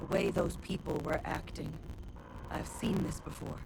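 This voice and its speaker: A put-on character voice sits at a middle pitch and moves at a moderate pace. Loud background noise runs underneath. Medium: video game. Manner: blunt, direct.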